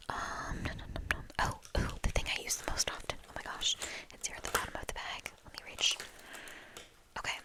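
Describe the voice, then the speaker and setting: Whispering at a fairly quick pace with long, frequent pauses, the voice comes through noticeable background noise. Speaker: ASMR creator. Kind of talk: ASMR show-and-tell talk. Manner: whispered; casual, rambling.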